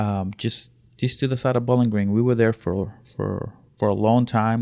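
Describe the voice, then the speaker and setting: On a very clean recording with a silent background, a man with a Spanish accent talks at a moderate pace, with fairly low pitch and fairly even intonation. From Honduras. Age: 30s. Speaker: immigrant sharing life story. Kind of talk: interview. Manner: halting, many fillers and repetitions.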